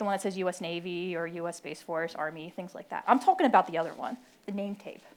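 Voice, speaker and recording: A woman with a Philadelphia accent talks at a very fast pace and a medium pitch. The recording is very clean, with a silent background. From Philadelphia, US. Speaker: military officer, panelist. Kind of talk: panel talk. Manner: animated, conversational.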